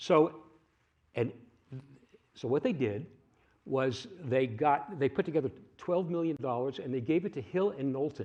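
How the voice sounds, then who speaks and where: Lively intonation at a moderate pace, with long, frequent pauses. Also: man, fairly high pitch for a man. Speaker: climate storyteller on a panel. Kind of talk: panel discussion. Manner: hesitant, many fillers.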